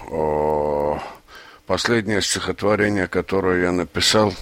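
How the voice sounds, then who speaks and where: A man's very deep, low voice, bright and sharp in tone, with fairly even intonation. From Azerbaijan (Baku). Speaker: poet. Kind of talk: interview. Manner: halting, with fillers.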